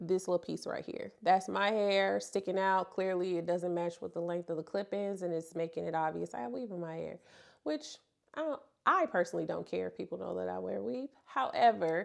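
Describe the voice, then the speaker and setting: Here is a woman with a St. Louis accent and a medium pitch. Her recording is very clean against a silent background. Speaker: hair extensions vlogger. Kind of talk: tutorial. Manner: casual, conversational.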